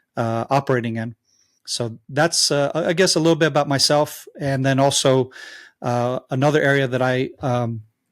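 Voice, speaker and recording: On a very clean recording with a silent background, a man with an American accent speaks at a moderate pace in a fairly high voice with fairly even intonation. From Israel. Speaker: former soldier and advocate. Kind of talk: interview. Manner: halting, many fillers.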